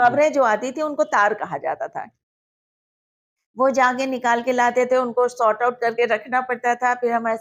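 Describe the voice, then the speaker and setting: A woman speaks in a high pitch in a very clean recording with a silent background. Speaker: radio announcer and journalist. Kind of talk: interview answer.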